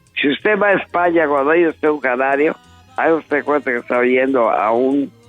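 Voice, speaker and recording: Music plays in the background as a man talks. His pitch is fairly high, with ordinary pitch variation. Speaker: songwriter and singer. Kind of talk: interview answer.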